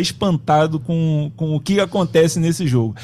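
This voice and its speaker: An unremarkable speaking voice from a man, fairly high in pitch and moderate in pace. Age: 40s. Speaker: sports producer and co-host. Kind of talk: casual chat.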